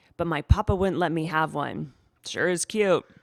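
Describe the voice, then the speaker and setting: A raspy, put-on character voice at a middle pitch and moderate pace, recorded very cleanly against a silent background. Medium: read story. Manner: warm, genial.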